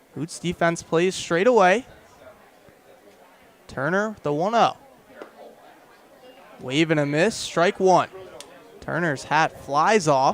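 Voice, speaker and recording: Crowd noise fills the background as a man with a high-pitched voice talks at a very slow pace, leaving long, frequent pauses. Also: ordinary pitch variation. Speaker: radio play-by-play announcer. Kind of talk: radio baseball play-by-play.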